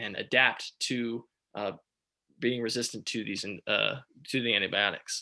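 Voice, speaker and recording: Against a quiet background, a bright, sharp tone comes through at a moderate pace. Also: man. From Texas. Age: 20s. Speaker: startup founder. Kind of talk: startup pitch presentation.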